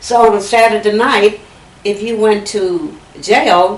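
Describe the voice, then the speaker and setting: A woman in a Texas accent at medium pitch, against noticeable background noise. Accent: Southern US, Texas. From Fayette County, Texas. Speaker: oral history interviewee. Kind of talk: interview answer.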